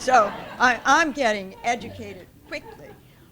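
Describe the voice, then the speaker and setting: Fairly slow speech with lively intonation against crowd noise in the background. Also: woman. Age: 80s+. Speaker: community health presenter. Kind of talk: Q&A after a presentation.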